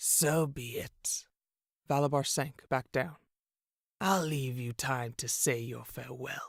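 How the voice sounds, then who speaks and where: A man's put-on character voice at medium pitch, fairly slow and fairly even in intonation, with long, frequent pauses. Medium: read story. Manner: sneering, menacing.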